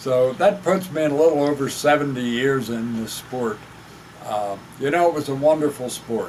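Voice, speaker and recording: A man with an American accent speaks at a moderate pace in a fairly high pitch. His pitch varies in an ordinary way, and there is noticeable background noise. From Pennsylvania, Chester County. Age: 70s. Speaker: retired fishing club representative. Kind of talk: casual update talk. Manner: halting, many fillers.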